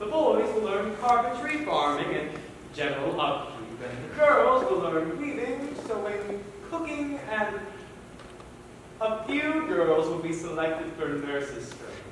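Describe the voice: In a put-on character voice, a man speaks at a fairly slow pace with high pitch, big pitch swings and a fairly bright tone, all in strong room echo.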